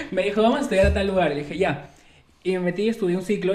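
Very fast speech over noticeable background noise, with audible room echo. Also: man. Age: 20s. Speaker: podcast host. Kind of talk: casual chat.

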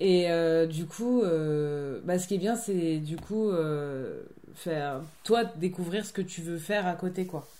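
This woman has a dark, mellow tone and a fairly low pitch, and she talks at a very slow pace. The room echo is audible. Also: ordinary pitch variation. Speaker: theatre company member, film student. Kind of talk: casual chat.

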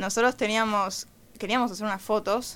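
A woman talks in a normal speaking voice at medium pitch. Her intonation stays fairly even. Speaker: rock musician. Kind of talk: interview.

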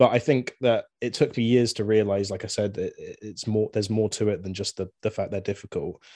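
Over a quiet background, a man with a southern English accent speaks fairly low and fairly quickly, his intonation fairly even, his loudness swinging widely, and hardly any pauses between words. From southern England (Swindon, Wiltshire). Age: 20s. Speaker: musician and video game fan. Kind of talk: casual chat.

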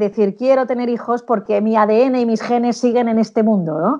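A woman speaks at a moderate pace with a fairly high pitch. Her tone is dark and mellow, her intonation fairly even, and the background is quiet. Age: middle-aged. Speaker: sales consultant and speaker. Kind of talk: interview.

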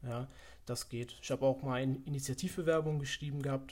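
A man talks at a fairly quick pace with a fairly high pitch. His voice is somewhat breathy, and his intonation stays fairly even. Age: 20s. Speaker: fitness economics student. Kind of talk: casual interview.

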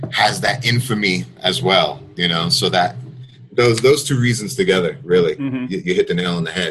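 With lively intonation and an American accent, an ordinary speaking voice proceeds at a moderate pace. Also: man, fairly low pitch for a man. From United States. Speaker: journalist and writer. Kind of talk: interview.

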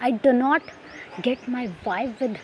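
A woman with a South Asian accent speaks over noticeable background noise. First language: Hindi/Urdu. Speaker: podcaster. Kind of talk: personal monologue.

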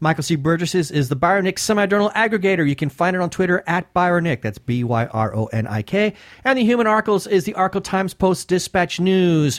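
A man at a fairly quick pace with hardly any pauses, dry and close with no echo, on a very clean recording with a silent background. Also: lively intonation. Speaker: podcast co-host. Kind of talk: casual interview chat. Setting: studio.

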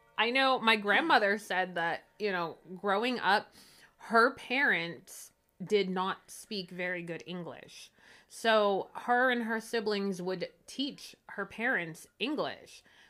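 Very slowly, a woman with a Pittsburgh accent speaks in a bright, sharp tone at medium pitch with ordinary pitch variation, on a very clean recording with a silent background. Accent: Pittsburgh accent (Western Pennsylvania). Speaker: podcast co-host. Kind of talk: casual chat. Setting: at her own home.

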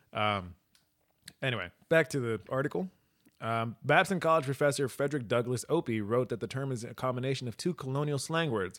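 Animated in tone, a man speaks at a medium pitch with lively intonation. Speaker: podcast co-host. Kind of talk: casual banter, profane. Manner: animated, profane, joking.

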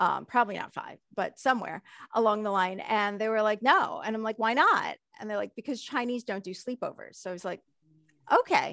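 In a dry, close recording with no echo, a woman with an unremarkable speaking voice talks at a fairly quick pace and a fairly high pitch, with ordinary pitch variation and big swings in loudness. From United States, child of Hong Kong immigrants. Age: 40s. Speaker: guest sharing life story. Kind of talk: interview.

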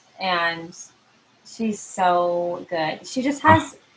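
A woman with an American accent amid noticeable background noise. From California. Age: 20s. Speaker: podcast host. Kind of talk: casual chat.

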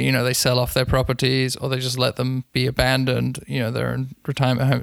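A man with a London accent speaks at a medium pitch. The sound is dry and close, with no echo. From London, England. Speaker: digital communications expert and podcaster. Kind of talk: casual interview.

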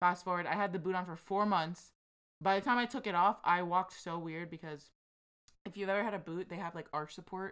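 A woman with an ordinary speaking voice talks at a fairly quick pace in an American accent, fairly low in pitch with fairly even intonation. The recording is very clean, with a silent background. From USA. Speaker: co-host. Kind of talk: casual chat.

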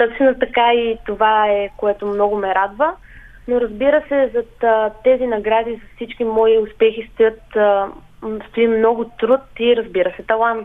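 This woman has an ordinary speaking voice, fairly high in pitch, with fairly even intonation and a fairly slow pace. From Kyustendil, western Bulgaria. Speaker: folk singer. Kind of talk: radio interview.

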